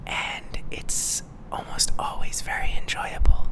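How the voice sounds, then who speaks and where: Someone is whispering. Noticeable background noise is present. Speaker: ASMR youtuber. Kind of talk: ASMR whispering. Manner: slow.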